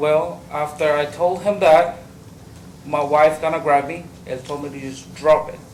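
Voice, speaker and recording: Amid audible room echo and noticeable background noise, a man talks at a moderate pace in a fairly high voice, his intonation fairly even but his loudness swinging widely. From Mexico. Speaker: trial witness. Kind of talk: witness testimony. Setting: courtroom. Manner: halting.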